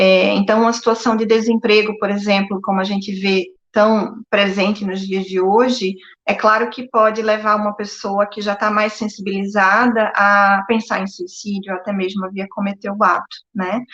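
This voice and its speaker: A woman speaks at a moderate pace with hardly any pauses. Her intonation is monotone and flat. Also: medium pitch for a woman. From Brazil, Northeast. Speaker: psychologist. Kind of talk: live-stream interview. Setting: live stream. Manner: hesitant, many filler words.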